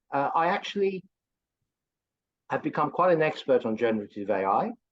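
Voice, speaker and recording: A man with a strong English accent. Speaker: course instructor, AI consultant. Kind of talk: promotional video call chat.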